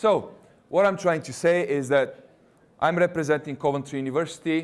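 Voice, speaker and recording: This man speaks with a Russian accent. His pace is moderate and his pitch varies in an ordinary way. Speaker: university recruitment representative. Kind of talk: presentation to students.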